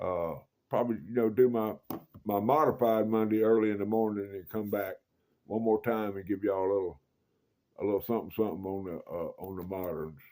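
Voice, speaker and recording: Low-ish in pitch with a dark, mellow tone, a man speaks with fairly even intonation. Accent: Mississippi. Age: 60s. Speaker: knife collector YouTuber. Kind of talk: casual show-and-tell video. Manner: folksy, repetitive.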